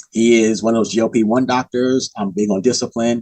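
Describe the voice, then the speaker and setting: With an unremarkable speaking voice, a man talks at a moderate pace in a fairly low pitch, the sound dry and close with no echo. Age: 60s. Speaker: author and podcaster. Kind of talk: casual chat.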